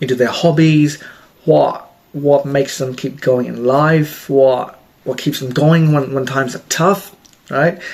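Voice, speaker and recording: With an Australian accent, the speaker talks at a fairly slow pace over noticeable background noise. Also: man, fairly high pitch for a man, fairly even intonation. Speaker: self-help vlogger, healthcare worker. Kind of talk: casual advice talk to camera. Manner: hesitant, frequent repetitions.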